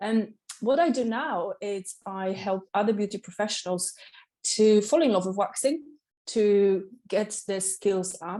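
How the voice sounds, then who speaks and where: With a Polish accent, a woman at medium pitch speaks in a dark, mellow tone at a fairly slow pace, with ordinary pitch variation and long, frequent pauses. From Poland, Katowice. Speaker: waxing specialist and salon owner. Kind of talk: interview. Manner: energetic.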